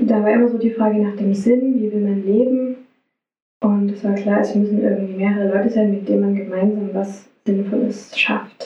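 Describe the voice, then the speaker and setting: The intonation is monotone and flat. A woman's voice sits at a medium pitch. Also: moderate pace. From Saxony, Radebeul near Dresden. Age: 30s. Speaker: social worker and music therapist. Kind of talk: interview.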